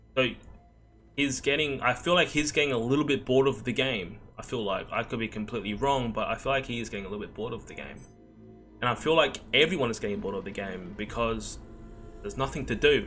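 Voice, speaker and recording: With music in the background, a man with an Australian accent talks at a very fast pace and medium pitch, with ordinary pitch variation and big swings in loudness. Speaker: gaming streamer. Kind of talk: casual discussion to camera.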